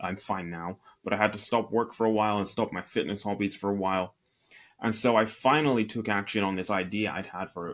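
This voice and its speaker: A man speaks with a Scottish accent, fairly low in pitch and fairly even in intonation. The recording is very clean, with a silent background. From Northeast Scotland. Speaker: e-commerce entrepreneur. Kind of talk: interview.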